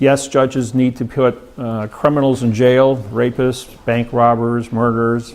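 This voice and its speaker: Over noticeable background noise, a man with a medium pitch speaks at a fairly slow pace in a monotone, flat intonation. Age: 60s. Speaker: seminar speaker on law. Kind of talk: seminar talk. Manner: halting, many fillers.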